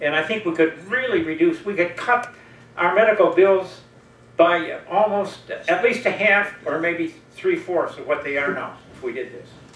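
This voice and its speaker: A man speaks at a moderate pace in a high voice, with lively intonation and big swings in loudness. Noticeable background noise and audible room echo surround him. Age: 80s+. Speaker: audience member at public discussion forum. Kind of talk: open forum comment. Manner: halting.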